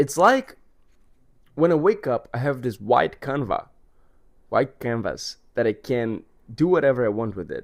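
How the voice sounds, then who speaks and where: With a Portuguese accent, a man talks at a fairly slow pace with lively intonation and long, frequent pauses. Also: medium pitch for a man. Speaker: vlogger. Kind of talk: casual monologue vlog.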